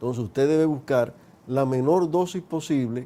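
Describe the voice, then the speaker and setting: This man has a medium pitch, a dark, mellow tone and ordinary pitch variation. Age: 60s. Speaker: geriatrician. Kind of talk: TV interview. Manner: explanatory.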